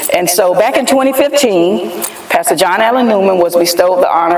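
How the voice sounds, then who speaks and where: Very fast delivery amid noticeable background noise. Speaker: podcast host. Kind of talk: interview. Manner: louder.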